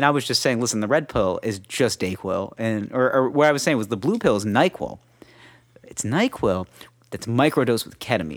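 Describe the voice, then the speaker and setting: In a very clean recording with a silent background, a man has an unremarkable speaking voice at medium pitch. He talks at a fairly quick pace with lively intonation. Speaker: podcast host. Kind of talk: casual banter podcast. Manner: joking, comedic.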